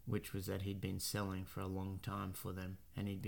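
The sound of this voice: The clip features an unforced reading voice.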